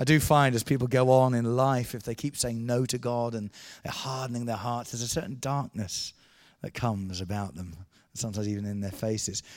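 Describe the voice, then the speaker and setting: A normal speaking voice from a man, medium in pitch, fairly quick, with ordinary pitch variation, on a very clean recording with a silent background. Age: 50s. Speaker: evangelist. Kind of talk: sermon.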